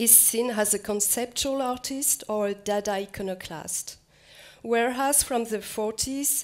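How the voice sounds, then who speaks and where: A woman speaks with fairly even intonation in a French accent. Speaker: museum curator. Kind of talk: lecture. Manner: halting, repeats words.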